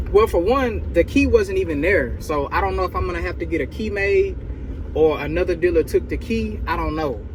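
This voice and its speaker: A man speaks in an animated tone at a fairly quick pace. Noticeable background noise is present. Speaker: used car dealer and vlogger. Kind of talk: casual vlog talk to camera. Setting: inside a truck at a car auction. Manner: louder, animated; whispering near other dealers.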